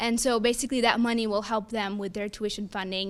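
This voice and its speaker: A woman talks at a fairly quick pace in a fairly high voice with fairly even intonation, on a very clean recording with a silent background. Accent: American. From Texas (Fort Worth). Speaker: student government candidate. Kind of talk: debate answers. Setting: live-streamed forum in a room. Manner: loud.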